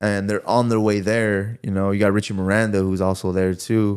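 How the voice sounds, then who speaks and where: A man's fairly low, monotone, flat voice at a moderate pace, on a very clean recording with a silent background. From Santa Ana, California. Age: 20s. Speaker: professional boxer. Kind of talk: casual podcast interview.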